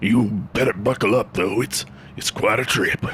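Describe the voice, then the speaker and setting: In a put-on character voice, a man sounds raspy at a medium pitch. He speaks at a moderate pace over clear background noise. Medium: audio drama. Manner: laid-back, slangy.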